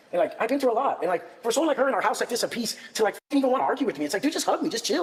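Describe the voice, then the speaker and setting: Talking at a very fast pace with very wide pitch swings, a man is heard over noticeable background noise. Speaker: podcast host. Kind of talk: heated debate. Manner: loud.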